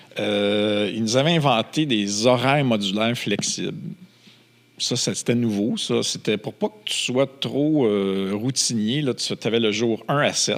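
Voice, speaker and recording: The speaker talks with a Quebec accent. The pace is very slow. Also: man, medium pitch for a man, ordinary pitch variation. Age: 60s. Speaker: film producer and entrepreneur. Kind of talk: casual interview chat. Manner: animated storytelling.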